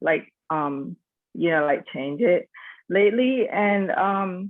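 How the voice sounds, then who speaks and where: A woman with a Nicaraguan Caribbean accent, very slow in pace, with lively intonation. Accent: Caribbean Nicaraguan accent, kept on purpose. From Nicaragua, Corn Island (Caribbean coast). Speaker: school teacher, church member. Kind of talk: casual discussion, personal testimony. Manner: hesitant, many fillers.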